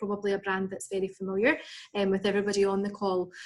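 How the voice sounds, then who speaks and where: This woman speaks with a Scottish accent. Her pitch is medium. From Scotland, Edinburgh. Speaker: recruitment and sales manager. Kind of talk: business presentation. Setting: video call.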